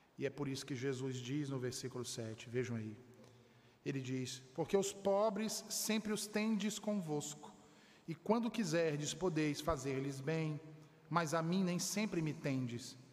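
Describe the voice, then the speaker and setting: A man's somewhat breathy voice at a fairly slow pace, with lively intonation. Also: fairly high pitch for a man. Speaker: preacher. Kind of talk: sermon delivered to a congregation, exhortative pulpit preaching. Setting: church. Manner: earnest, emphatic, fervent, building to firm declarations about salvation.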